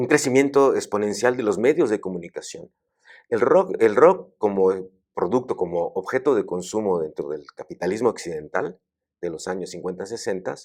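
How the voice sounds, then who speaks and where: Over a silent background in a very clean recording, a man speaks at a moderate pace and a medium pitch with lively intonation. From Mexico. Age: 60s. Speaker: academic. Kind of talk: interview conversation. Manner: halting, with many fillers and repetitions.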